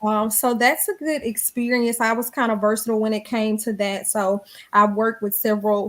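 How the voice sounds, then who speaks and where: At a moderate pace, this voice carries a strong Southern US accent with fairly even intonation. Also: woman. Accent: thick Southern. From US South, Montgomery, Alabama. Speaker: radio personality and professor. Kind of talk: interview conversation.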